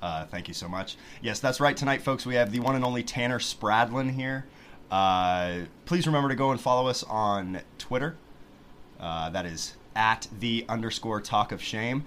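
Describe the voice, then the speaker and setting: Ordinary pitch variation in an ordinary speaking voice, at a moderate pace. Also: man, medium pitch for a man. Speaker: podcast host. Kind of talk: casual chat. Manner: joking, playful.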